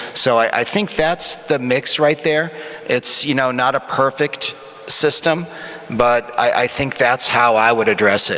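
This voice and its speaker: A man at medium pitch and a fairly slow pace, very even in loudness, over noticeable background noise. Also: ordinary pitch variation. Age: 50s. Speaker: emergency physician, panelist. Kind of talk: panel discussion answer. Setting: conference stage with audience.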